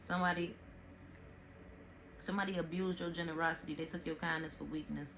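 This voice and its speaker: Against noticeable background noise, the words come out very fast. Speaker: tarot reader. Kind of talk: tarot reading. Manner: animated.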